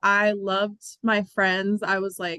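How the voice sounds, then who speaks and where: In an American accent, a woman with a medium-pitched, bright, sharp tone speaks with a dry, close sound and no echo. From Pennsylvania, Bucks County (Levittown). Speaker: singer-songwriter. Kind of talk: interview.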